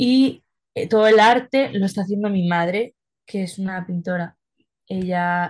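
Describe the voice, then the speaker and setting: Somewhat breathy and at medium pitch, a woman speaks at a fairly slow pace. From Spain (Madrid). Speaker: singer-songwriter. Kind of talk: interview.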